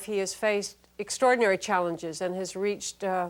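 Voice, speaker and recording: A woman speaks in a plain, everyday voice at a medium pitch and a fairly quick pace. The recording is very clean, with a silent background. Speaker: talk show host. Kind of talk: TV interview questions.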